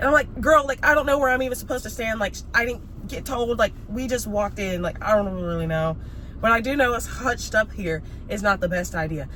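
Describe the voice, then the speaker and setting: The speaker has an American accent and lively intonation, moving at a fairly quick pace over noticeable background noise. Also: woman, fairly high pitch for a woman. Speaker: vlogger. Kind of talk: casual chat. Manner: animated.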